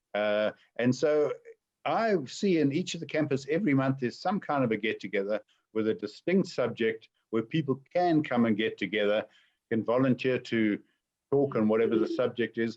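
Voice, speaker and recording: A man talks in a normal speaking voice at a medium pitch, with lively intonation. The background is quiet. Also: moderate pace, very even loudness. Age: 60s. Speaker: entrepreneur. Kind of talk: webinar Q&A.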